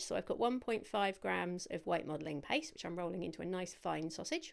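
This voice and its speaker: A woman talks with a British accent at a medium pitch. The recording is very clean, with a silent background. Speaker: cake decorating instructor. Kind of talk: tutorial. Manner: fast; stumbling over words.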